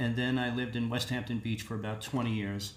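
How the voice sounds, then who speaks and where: A man with an American accent speaks at a medium pitch and a fairly quick pace. His intonation is monotone and flat, with audible room echo. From Long Island, New York. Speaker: singer-songwriter. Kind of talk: interview.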